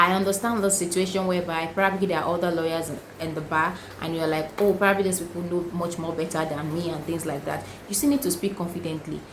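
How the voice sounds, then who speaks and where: Very fast, a woman speaks at a fairly low pitch with ordinary pitch variation, amid noticeable background noise and audible room echo. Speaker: lawyer. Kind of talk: tutorial.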